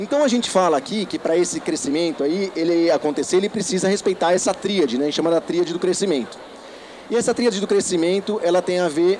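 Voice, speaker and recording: Against noticeable background noise, a man speaks at a very fast pace in a high pitch with ordinary pitch variation. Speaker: education consultant, company founder. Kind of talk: lecture. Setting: trade fair stand with audience. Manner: animated.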